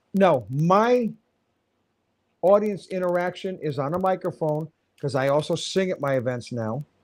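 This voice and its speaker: A man with a high voice speaks in an animated way, his intonation lively and broken by long, frequent pauses. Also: moderate pace. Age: 60s. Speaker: wedding DJ and MC. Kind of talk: interview.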